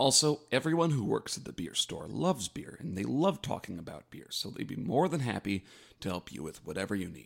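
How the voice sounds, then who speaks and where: A man's medium-pitched voice with vocal fry, at a fairly quick pace, with big swings in loudness and very wide pitch swings. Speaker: podcast co-host. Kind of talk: comedic podcast banter. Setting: studio. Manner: mock-formal, hesitant, comedic.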